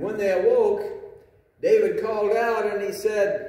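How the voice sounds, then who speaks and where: A man speaks at a moderate pace. Room echo is audible. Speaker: pastor. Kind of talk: sermon. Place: church. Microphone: camera far.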